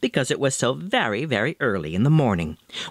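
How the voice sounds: The clip features a natural reading voice.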